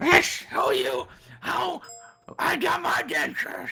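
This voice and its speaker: In a raspy, put-on character voice, the speaker goes at a fairly slow pace. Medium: actual play. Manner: shouting, fierce.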